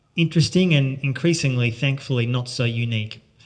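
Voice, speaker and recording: A man with an Australian accent speaks at a very fast pace and a medium pitch. His voice is somewhat breathy, with ordinary pitch variation. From Australia, Melbourne. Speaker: journalist and author. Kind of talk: talk to an audience.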